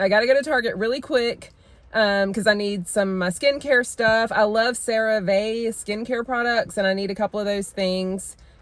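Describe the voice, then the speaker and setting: This is a plain, everyday voice. Its intonation stays fairly even at a moderate pace. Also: woman, fairly high pitch for a woman. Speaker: lifestyle vlogger. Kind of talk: casual vlog chat. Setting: in stores and car, on the go.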